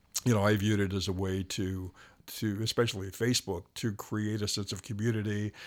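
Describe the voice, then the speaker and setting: The speech moves at a fairly quick pace with monotone, flat intonation. The recording is very clean, with a silent background. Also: man, fairly low pitch for a man. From Rhode Island. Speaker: retired radio personality. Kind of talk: casual interview.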